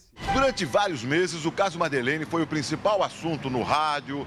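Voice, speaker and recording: Music plays in the background as a man talks in a fairly high pitch. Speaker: TV news reporter. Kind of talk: TV news report narration.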